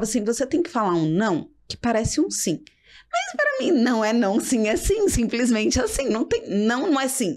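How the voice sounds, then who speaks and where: A woman with a fairly high-pitched voice talks at a moderate pace. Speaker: executive assistant. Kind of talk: podcast interview. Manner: direct, firm.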